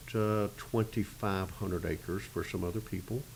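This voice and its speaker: A man's fairly low voice with a Florida accent. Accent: Southern US (Florida). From Arcadia, Florida. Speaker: citrus grower, agribusiness president. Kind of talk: oral history interview answer. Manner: hesitant, casual.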